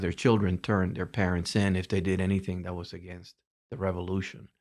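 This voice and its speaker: In a very clean recording with a silent background, a man with a fairly low pitch speaks in a Spanish accent. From Cuba. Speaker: retired telecommunications executive. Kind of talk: interview storytelling.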